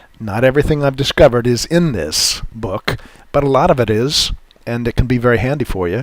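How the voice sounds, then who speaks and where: Speaking fairly quickly, a man with an ordinary speaking voice keeps a medium pitch and ordinary pitch variation. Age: 60s. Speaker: futures trading educator. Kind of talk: webinar presentation. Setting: online webinar. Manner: casual with frequent fillers.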